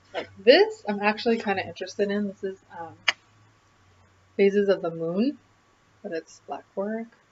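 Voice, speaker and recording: The speaker keeps a moderate pace and ordinary pitch variation but swings widely in loudness, with long, frequent pauses and noticeable background noise. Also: woman, medium pitch for a woman. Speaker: craft video host. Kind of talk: casual vlog chat.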